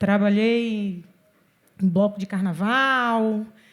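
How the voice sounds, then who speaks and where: Somewhat breathy and animated, a woman speaks with a fairly high pitch. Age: 40s. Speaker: city official and cultural producer. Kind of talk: panel discussion.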